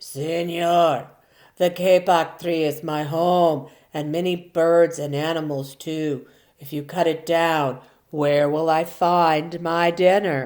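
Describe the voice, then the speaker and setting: In a put-on, growling character voice, a woman speaks at a fairly low pitch and a fairly slow pace on a very clean recording with a silent background. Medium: read story.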